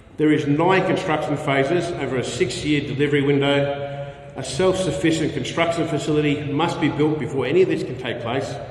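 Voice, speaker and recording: Amid noticeable background noise and audible room echo, a man with an Australian accent speaks at a moderate pace with a fairly high pitch and fairly even intonation. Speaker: investment presenter. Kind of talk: conference presentation.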